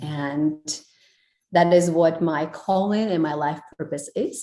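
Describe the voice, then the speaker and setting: Her voice is dark and mellow in tone, fairly low in pitch for a woman. The pitch variation is ordinary. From Kazakhstan. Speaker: life and relationship coach. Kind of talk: podcast interview answer.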